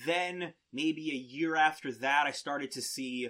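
A man talks slowly in a bright, sharp tone.

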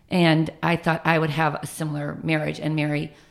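A moderate pace and fairly low pitch from a woman. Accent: American. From US Midwest, northern suburbs of Chicago. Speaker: fitness instructor. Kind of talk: podcast interview, personal life story.

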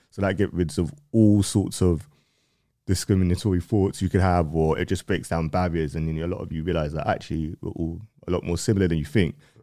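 Speaking at a fairly quick pace with a London accent, a man uses a very deep, low pitch and a dark, mellow tone in a very clean recording with a silent background. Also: ordinary pitch variation. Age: 30s. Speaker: music platform owner. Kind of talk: casual interview. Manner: articulate, educated-sounding.

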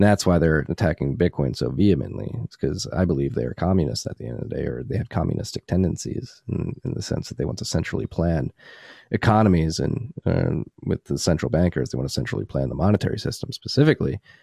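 A man with a very deep, low pitch and a dark, mellow tone speaks at a very fast pace with hardly any pauses, vocal fry and very wide pitch swings, in a dry, close sound with no echo. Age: 20s. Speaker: bitcoin podcast host and newsletter author. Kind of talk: podcast interview. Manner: animated.

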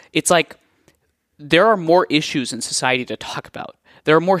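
A man's high-pitched voice at a fairly quick pace, dry and close with no echo, on a very clean recording with a silent background. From US Northeast, New Jersey, partly raised in India. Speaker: nonprofit CEO. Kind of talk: interview.

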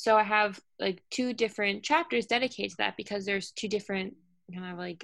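In an American accent, a woman with an ordinary speaking voice and medium pitch moves at a fairly quick pace with ordinary pitch variation over a very clean, silent background. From New York City. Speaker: author and wellness advocate. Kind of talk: interview.

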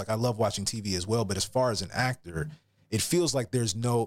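This man has a plain, everyday voice at a medium pitch, with an American accent and ordinary pitch variation. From US South, Atlanta, Georgia. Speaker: actor and voiceover actor. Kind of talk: casual interview.

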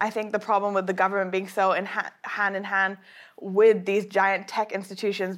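Speaking at a fairly quick pace in a flat monotone, a woman with a medium pitch is heard on a very clean recording with a silent background. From Japan. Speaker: model and author. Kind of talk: talk then interview discussion.

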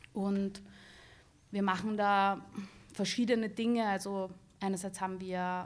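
Flat, monotone intonation from a woman at medium pitch. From Lower Austria, near Vienna. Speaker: film director. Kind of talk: casual chat.

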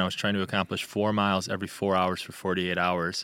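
With an American accent and a bright, sharp tone, a man speaks in a very clean recording over a silent background. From US Midwest, Chicago suburbs. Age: 30s. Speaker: endurance athlete and wellness advocate. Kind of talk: interview conversation.

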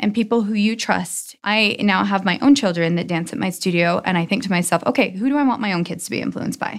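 A woman with an American accent speaks at a medium pitch and fairly quick pace, with vocal fry. The recording is very clean, the background silent. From Utah, US. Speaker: dancer and business owner. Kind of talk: interview. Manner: animated.

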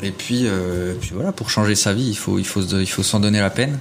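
Over noticeable background noise, a man speaks in a fairly low pitch with fairly even intonation. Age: 30s. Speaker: property investor. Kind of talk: interview.

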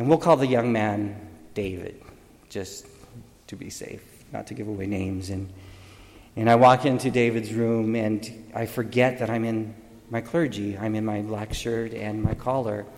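Pausing long and often, a man at medium pitch keeps a moderate pace and fairly even intonation while his loudness swings widely. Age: 50s. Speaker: deacon. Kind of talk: homily.

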